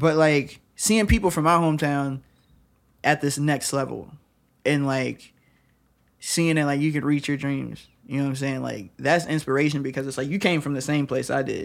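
A man's plain, everyday voice with an American accent, at a fairly high pitch and moderate pace, with fairly even intonation, on a very clean recording with a silent background. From Michigan (Lansing). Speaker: rapper and dance teacher. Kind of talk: casual chat.

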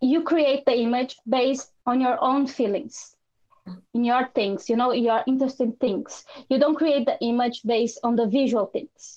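This voice has a Portuguese accent and a dark, mellow tone. It moves at a moderate pace with very even loudness and ordinary pitch variation. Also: woman, high pitch for a woman. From Brazil. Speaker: artist and photographer. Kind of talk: interview.

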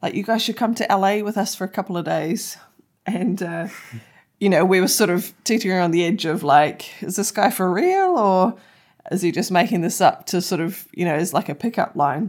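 In a very clean recording with a silent background, a woman with a New Zealand accent speaks at a moderate pace, her medium pitch showing ordinary variation. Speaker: podcast co-host. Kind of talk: casual chat. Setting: makeshift home studio.

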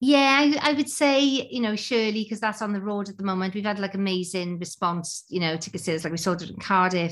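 In a Welsh accent, a woman speaks at a fairly quick pace with ordinary pitch variation on a very clean recording with a silent background. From Wales. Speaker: theatre artistic director. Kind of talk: casual interview. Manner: halting.

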